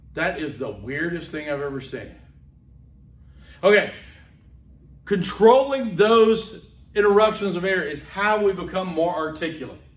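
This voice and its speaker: Fairly slow delivery with long, frequent pauses, lively intonation, big swings in loudness, and audible room echo. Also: man, high pitch for a man. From US South, Homewood, Alabama (Birmingham). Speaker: public speaking instructor. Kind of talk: lecture. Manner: animated.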